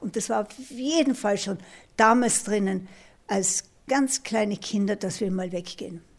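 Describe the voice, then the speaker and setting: A somewhat breathy woman speaks at a fairly slow pace in a very clean recording with a silent background. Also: medium pitch for a woman, ordinary pitch variation. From Austria. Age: 70s. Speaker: retired ultra-runner and triathlete. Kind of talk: interview testimony.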